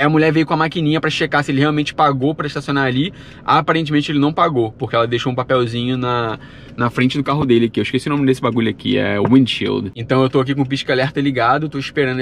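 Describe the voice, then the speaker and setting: A man races along at a very fast pace with fairly even intonation, in a dry sound with no echo and light background noise. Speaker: travel vlogger. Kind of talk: casual vlog chat. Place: car. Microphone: phone near.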